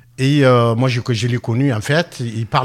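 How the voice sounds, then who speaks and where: A man speaks in a medium pitch. His pitch variation is ordinary. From Tunisia. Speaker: author, former public works contractor. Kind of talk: radio interview. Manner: halting.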